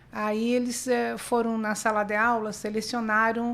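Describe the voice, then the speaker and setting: Her voice is fairly high-pitched, and the woman speaks at a fairly slow pace in a monotone, flat way. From southern Brazil (Rio Grande do Sul). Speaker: lawyer. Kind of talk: podcast interview.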